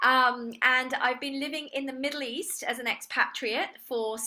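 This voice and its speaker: Her voice is high for a woman, bright and sharp, with an English accent. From England. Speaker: real estate agent and trainer. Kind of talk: online seminar presentation.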